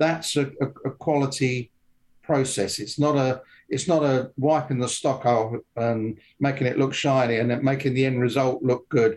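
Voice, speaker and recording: Moderate-paced speech in a southern English accent, with fairly even intonation and very even loudness. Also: man, medium pitch for a man. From England, London (Wimbledon). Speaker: gunmaker. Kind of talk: casual interview. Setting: remote call. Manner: halting, many fillers.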